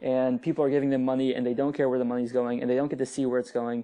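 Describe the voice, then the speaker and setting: A man speaks in a dark, mellow tone with an American accent. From US, Northern Virginia. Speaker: app founder. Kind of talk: podcast interview.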